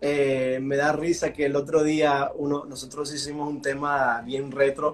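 Over noticeable background noise, a man with a slight American accent speaks fairly slowly at a fairly high pitch, his intonation monotone and flat. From US East Coast (Washington D.C. area), Venezuelan parents. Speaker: worship pastor and singer. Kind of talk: casual interview. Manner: mixes English into Spanish.

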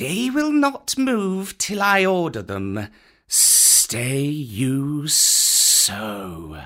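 A put-on character voice from a man, fairly high-pitched, hissing, and very slow. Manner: hissed.

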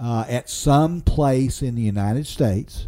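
A man speaks at a fairly slow pace with ordinary pitch variation. His tone is dark and mellow. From Oklahoma, Osage County. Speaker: war veteran. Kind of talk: interview. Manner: halting.

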